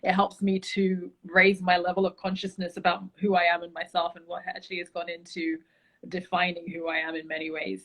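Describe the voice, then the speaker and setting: Monotone, flat intonation with a London accent. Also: woman, fairly low pitch for a woman, fairly quick pace, big swings in loudness. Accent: British (London). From London, England. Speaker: travel enthusiast, beauty brand founder. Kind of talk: casual interview chat.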